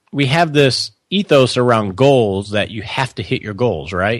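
An ordinary speaking voice from a man with an American accent, fairly slow and with lively intonation, on a very clean recording with a silent background. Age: 40s. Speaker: financial advisor. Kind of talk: interview.

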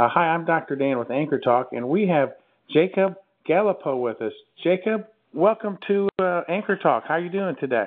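A high-pitched man in a Midwestern American accent, with lively intonation. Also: moderate pace. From near Chicago, US Midwest. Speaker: interviewer.

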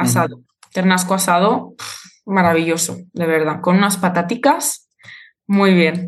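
A woman speaks at a fairly slow pace with a fairly low pitch. Her voice is somewhat breathy, with ordinary pitch variation. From Spain, Zaragoza (Aragón). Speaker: Spanish teacher. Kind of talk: interview.

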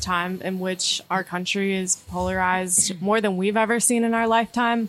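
A woman's normal speaking voice with an American accent, a moderate pace and fairly even intonation. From North Carolina, Durham area. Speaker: divinity student. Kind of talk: casual chat.

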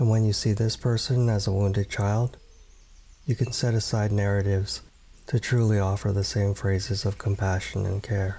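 Calm and gentle in tone, a man speaks at a fairly low pitch with a somewhat breathy, dark, mellow voice, very even loudness and fairly even intonation. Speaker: meditation guide. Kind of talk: guided meditation. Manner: slow, soft-spoken, calm and gentle with long pauses.

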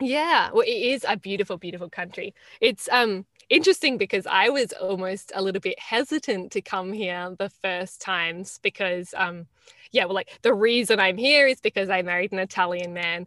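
Over a quiet background, a woman talks at a medium pitch with ordinary pitch variation and a bright, sharp tone. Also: moderate pace, dry, close sound with no echo. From Australia. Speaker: podcast guest. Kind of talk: casual interview chat. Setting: remote call.

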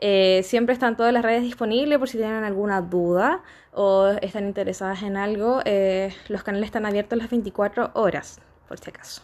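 A woman with a normal speaking voice and a fairly high pitch speaks at a moderate pace with fairly even intonation. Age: 20s. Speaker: sex shop owner. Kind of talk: casual chat. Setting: at a friend's home.

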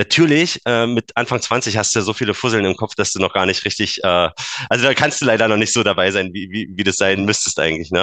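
Fairly quick, lively-intoned man with a fairly low pitch and a bright, sharp tone. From eastern Germany, Brandenburg. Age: 30s. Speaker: engineer and Bitcoin enthusiast. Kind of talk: casual interview.

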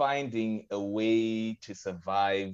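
A man with a fairly low pitch speaks very slowly against a quiet background. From Zimbabwe. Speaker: podcast guest. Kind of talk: casual chat. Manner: halting.

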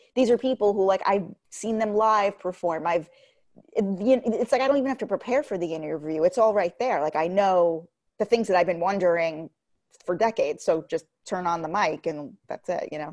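A woman's ordinary speaking voice at medium pitch, fairly quick in pace with lively intonation, over a quiet background. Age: 30s. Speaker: podcast host, pop culture commentator. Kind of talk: casual chat.

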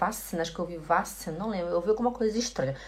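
Her intonation lively, a woman speaks in a somewhat breathy voice. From Belém do Pará, northern Brazil. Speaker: German teacher. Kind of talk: online language lesson.

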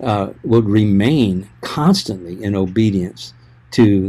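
On a very clean recording with a silent background, a man with a fairly low pitch and ordinary pitch variation speaks in a dark, mellow tone. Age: 60s. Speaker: pastor. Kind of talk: casual chat.

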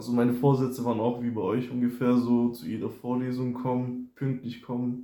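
A man's dark, mellow voice, monotone and flat in intonation, at a fairly quick pace. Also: medium pitch for a man. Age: 20s. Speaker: first-year student. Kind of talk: casual chat.

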